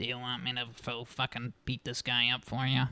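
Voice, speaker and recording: In a put-on, robotic character voice, a man speaks raspy and monotone with flat intonation at a medium pitch and moderate pace, the sound dry and close with no echo. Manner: aggressive, offering to fight.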